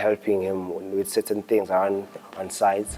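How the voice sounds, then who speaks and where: A man talks at a fairly low pitch. His intonation stays monotone and flat. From Pietermaritzburg, South Africa. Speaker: architecture graduate. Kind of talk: interview answer.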